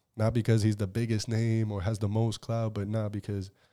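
In an American accent, a man with a fairly low pitch and a dark, mellow tone speaks at a fairly quick pace with monotone, flat intonation. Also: very clean recording, silent background. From Southbridge, Massachusetts. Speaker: rapper. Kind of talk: casual chat.

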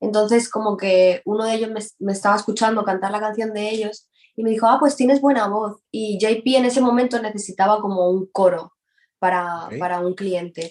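A woman speaks fairly quickly at a fairly high pitch, with ordinary pitch variation. It is an unremarkable speaking voice. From Spain, Valencia. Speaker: reggaeton singer. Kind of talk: casual interview.

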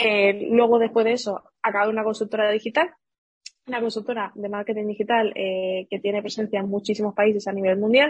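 Fairly high-pitched and somewhat breathy, a woman speaks with fairly even intonation in a dry, close sound with no echo. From Seville, Andalusia, Spain. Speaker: digital marketing entrepreneur. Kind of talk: interview.

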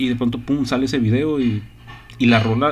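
There is music in the background and audible room echo. A man talks at medium pitch with ordinary pitch variation. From northern Mexico. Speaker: podcast host. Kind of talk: casual chat.

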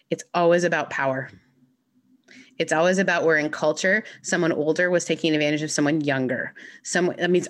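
A woman speaks in a normal speaking voice, fairly low in pitch. Her pace is fairly quick and her intonation fairly even. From Canada, then Mississippi from age fourteen. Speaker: minister. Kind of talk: casual interview chat.

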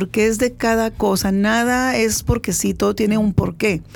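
The speaker is a woman. Her voice is fairly high in pitch. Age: 50s. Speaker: podcast host. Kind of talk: interview. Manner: halting.

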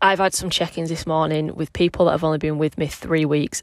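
On a very clean recording with a silent background, a woman with a Yorkshire accent speaks at a very deep, low pitch in a flat monotone. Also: dry, close sound with no echo. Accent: northern English (Yorkshire). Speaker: personal trainer and podcast host. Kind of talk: casual solo monologue. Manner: rambling, casual.

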